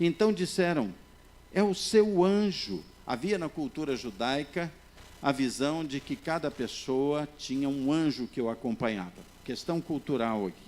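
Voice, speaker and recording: Very wide pitch swings fill a man's speech, which moves at a fairly slow pace. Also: fairly high pitch for a man. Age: 60s. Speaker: pastor. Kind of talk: sermon.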